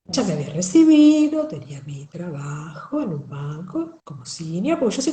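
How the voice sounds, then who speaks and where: A woman speaks in a porteño accent. Audible room echo surrounds her voice. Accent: porteño Argentine. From Argentina, Buenos Aires. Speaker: writer and accountant. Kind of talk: interview.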